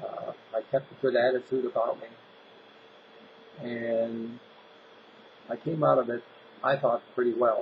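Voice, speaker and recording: Fairly slow delivery with long, frequent pauses. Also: man. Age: 60s. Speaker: health vlogger sharing personal story. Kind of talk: personal testimony monologue. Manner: casual, with fillers and restarts.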